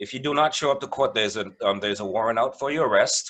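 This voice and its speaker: A man speaks with a West Indian accent. His pitch variation is ordinary. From West Indies. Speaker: mediator. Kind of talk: presentation.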